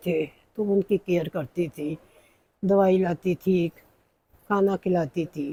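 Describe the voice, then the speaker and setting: A woman speaks at a medium pitch with a dark, mellow tone and ordinary pitch variation. The sound is dry and close, with no echo. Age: 70s. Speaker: cooking vlogger. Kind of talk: personal monologue.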